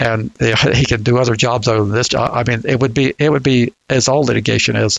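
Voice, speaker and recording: Man's speech with a Southern US accent. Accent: Southern drawl. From US South. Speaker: podcast co-host discussing registry law. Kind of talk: casual discussion. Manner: halting, many repeated words.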